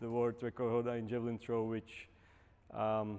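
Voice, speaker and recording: In a Czech accent, a man speaks at a moderate pace and medium pitch, with a dark, mellow tone and monotone, flat intonation. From Czech Republic. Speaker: Paralympic javelin thrower and coach. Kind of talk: lecture. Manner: hesitant, many fillers.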